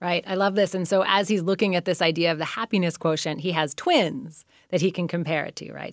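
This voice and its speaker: A woman talks at a fairly quick pace with vocal fry. Her fairly low voice shows ordinary pitch variation. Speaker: radio literary interview host and novelist. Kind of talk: interview. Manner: enthusiastic.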